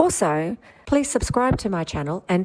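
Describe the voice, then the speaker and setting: Fast-moving and fairly low in pitch, a woman with an Australian accent speaks with very wide pitch swings at a fairly quick pace. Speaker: vlogger. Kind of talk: vlog narration.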